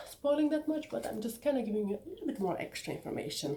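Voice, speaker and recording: Her voice is somewhat breathy, dark and mellow in tone, and the woman's pitch swings very widely. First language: Bulgarian. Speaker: author and YouTuber. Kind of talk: casual vlog talk. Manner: animated.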